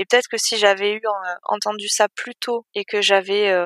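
A woman's medium-pitched voice with a bright, sharp tone and fairly even intonation, at a fairly slow pace, in a very clean recording with a silent background and a dry, close sound with no echo. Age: 30s. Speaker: IT project manager. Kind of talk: interview testimony. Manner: hesitant.

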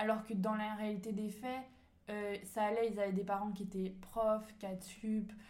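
Fairly slow delivery, monotone and flat, with audible room echo. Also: woman, fairly high pitch for a woman. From France, Ain near Lyon. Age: 20s. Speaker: entrepreneur and business coach. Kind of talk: casual interview.

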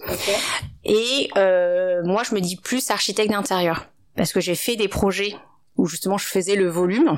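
The woman has an unremarkable speaking voice at medium pitch. She goes at a fairly slow pace with ordinary pitch variation. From France. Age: 30s. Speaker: architect. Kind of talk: interview. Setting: at the guest's home.

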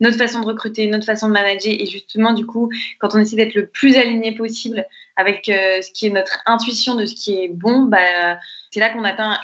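A woman with an ordinary speaking voice at a fairly high pitch, fairly even intonation and a moderate pace. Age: 20s. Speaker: entrepreneur, co-founder of intergenerational nurseries. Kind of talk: podcast interview.

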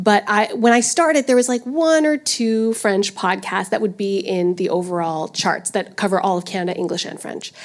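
A woman's medium-pitched voice unfolds at a fairly slow pace. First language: English (speaking French). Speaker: streaming podcast manager. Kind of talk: panel discussion. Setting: stage with audience. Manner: hesitant in French.

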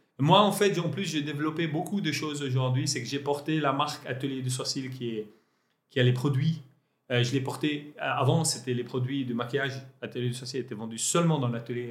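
Somewhat breathy and fairly high-pitched, a man talks at a fairly quick pace with ordinary pitch variation. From Lebanon. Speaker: entrepreneur. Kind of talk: interview. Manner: halting.

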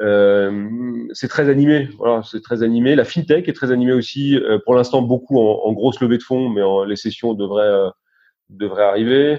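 The pitch of this man's voice is medium and varies in an ordinary way. He keeps to a moderate pace. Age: 50s. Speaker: investment banker. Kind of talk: interview. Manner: hesitant, many fillers and repetitions.

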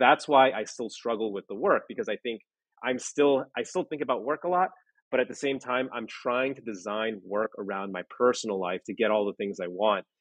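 A moderate-paced male voice at a medium pitch, an ordinary speaking voice with ordinary pitch variation. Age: 30s. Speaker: former lawyer working in legal technology. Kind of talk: interview.

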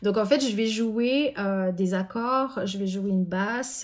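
An unremarkable speaking voice at a fairly slow pace, with ordinary pitch variation, in a very clean recording with a silent background. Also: woman. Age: 40s. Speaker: pianist and composer. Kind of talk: interview.

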